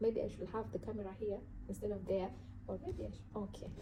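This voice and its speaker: There is noticeable background noise as a woman talks at a very fast pace. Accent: strong African. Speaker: self-help vlogger. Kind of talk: motivational talk to camera. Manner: casual, halting.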